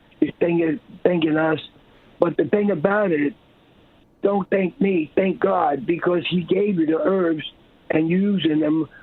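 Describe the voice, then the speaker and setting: Noticeable background noise sits behind a man's voice. He has a high pitch and a fairly slow pace. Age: 70s. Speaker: herbalist and business owner. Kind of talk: radio interview.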